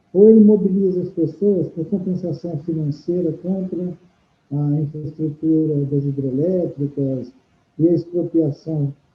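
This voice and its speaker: Music plays in the background as a man speaks at a fairly slow pace. His pitch is fairly high with ordinary variation. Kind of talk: interview answer.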